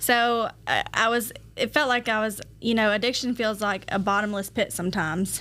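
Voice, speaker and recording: A woman's fairly high, bright and sharp voice with a Georgia accent, fairly even intonation, very even loudness and a moderate pace, in a very clean recording with a silent background. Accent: US Southern (Georgia). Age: 30s. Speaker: recovering addict, drug court alumna. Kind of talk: interview testimony.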